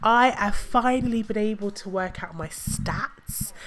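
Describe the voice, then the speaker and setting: A woman speaks somewhat slowly while music plays behind her. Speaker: podcast host. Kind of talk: casual monologue.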